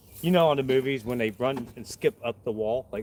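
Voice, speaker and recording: A man of medium pitch talks at a moderate pace with a Southern US accent. The sound is dry and close, with no echo. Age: 40s. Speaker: tree climber, arborist. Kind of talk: casual vlog tutorial. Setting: outdoors. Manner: loud; casual, chatty.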